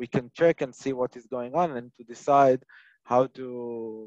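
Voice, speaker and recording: A man speaking at a fairly slow pace, dry sound with no echo, against a quiet background. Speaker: product trainer. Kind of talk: webinar lecture. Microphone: headset.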